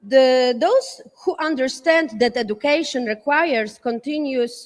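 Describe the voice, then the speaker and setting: Speaking with a non-native accent, a woman has a high pitch and ordinary pitch variation. Her pace is fairly slow. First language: not English. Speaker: panelist at education summit. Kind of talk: panel talk from notes. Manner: halting, many fillers and restarts.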